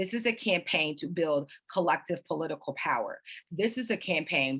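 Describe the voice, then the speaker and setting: A woman with an American accent uses a normal speaking voice, fairly low in pitch, with ordinary pitch variation at a moderate pace. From Florida, Clearwater. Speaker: congressional candidate. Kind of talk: candidate forum answer.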